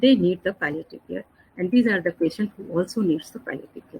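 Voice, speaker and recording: Her voice somewhat breathy, a woman speaks in a medium pitch with lively intonation. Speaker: pain and palliative care doctor. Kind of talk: lecture. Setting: online webinar. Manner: fast.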